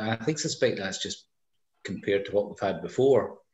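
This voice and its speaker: A man's somewhat breathy, medium-pitched voice with audible room echo. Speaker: tasting participant. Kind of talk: casual chat. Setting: video call. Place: home room. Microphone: video call.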